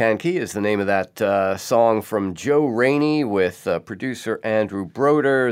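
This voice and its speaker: A man with a plain, everyday voice, fairly low pitch, ordinary pitch variation and a fairly slow pace. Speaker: radio host. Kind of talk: interview. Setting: remote recording.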